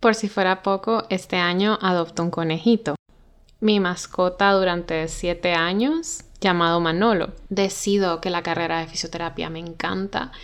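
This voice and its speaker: A woman with a normal speaking voice, fairly even intonation and a fairly slow pace. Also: medium pitch for a woman. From Honduras (Tegucigalpa, La Ceiba). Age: 20s. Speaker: podcast host. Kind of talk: personal storytelling monologue.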